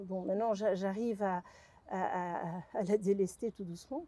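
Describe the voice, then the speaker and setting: This woman's voice has a dark, mellow tone. Her intonation stays fairly even. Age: 60s. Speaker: abuse survivor giving testimony. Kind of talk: interview testimony. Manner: halting, with many repetitions.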